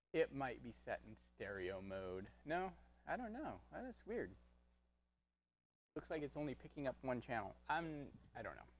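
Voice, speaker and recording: A moderate pace broken by long, frequent pauses. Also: man. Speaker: painting instructor. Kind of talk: painting tutorial livestream. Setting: livestream studio. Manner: quieter than co-host. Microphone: mic quieter than co-host, not picking up well.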